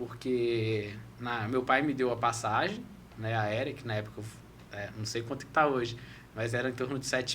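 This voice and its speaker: Audible room echo surrounds a man speaking at a moderate pace. His pitch is medium and his intonation is monotone and flat. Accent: Minas Gerais. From Brazil, Belo Horizonte (Minas Gerais). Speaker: former exchange student, foreign trade professional. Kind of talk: podcast interview. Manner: halting, with repetitions.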